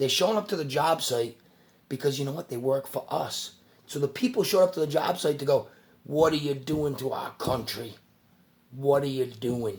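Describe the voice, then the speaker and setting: A man with a fairly high voice talks in an animated tone. He sounds somewhat breathy, with ordinary pitch variation. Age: 40s. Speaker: YouTuber. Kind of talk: casual rant to camera. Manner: fast.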